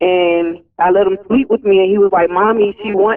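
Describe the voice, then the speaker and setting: Speaking at a moderate pace, a woman uses a medium pitch with an Alabama accent. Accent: Alabama US Southern. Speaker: caller. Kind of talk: phone-in conversation. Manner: halting.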